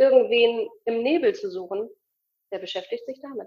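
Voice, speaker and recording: This woman speaks at a moderate pace. Her voice is high, her intonation lively. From Hamburg, northern Germany. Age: 30s. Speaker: alternative medicine practitioner and coach. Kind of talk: interview testimony.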